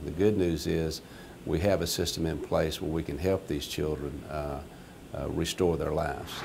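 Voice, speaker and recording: Very deep and low, a man's voice moves at a moderate pace. His intonation stays fairly even. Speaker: chief deputy, law enforcement officer. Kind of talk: interview answer.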